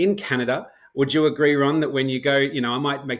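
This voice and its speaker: This man talks at a very fast pace. He has an Australian accent. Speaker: mortgage broker and financial strategy educator. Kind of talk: podcast interview. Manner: conversational, with frequent self-repetitions.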